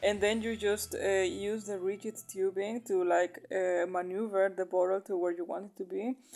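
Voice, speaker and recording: With a non-native accent, a woman speaks at a medium pitch in a dark, mellow tone. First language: not English. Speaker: aquarium hobbyist. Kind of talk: DIY tutorial voice-over. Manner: casual, hesitant with fillers.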